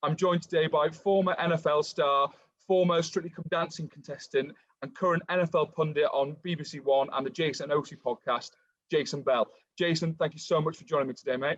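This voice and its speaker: Big swings in loudness mark this man's fairly quick delivery, his pitch fairly high and his intonation fairly even, with an English accent. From England. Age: 20s. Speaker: podcast host. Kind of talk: casual interview.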